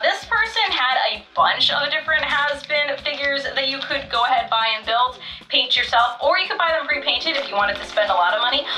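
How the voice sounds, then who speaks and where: A woman at a fairly quick pace, upbeat and excited, with very wide pitch swings over music in the background. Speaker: merch collector and unboxing reviewer. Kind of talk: casual talk to camera. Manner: upbeat, excited.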